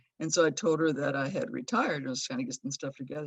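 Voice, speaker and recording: A plain, everyday voice from a woman with an American accent and lively intonation. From Los Angeles, US. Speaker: friend of the deceased. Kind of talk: memorial tribute. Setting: video call.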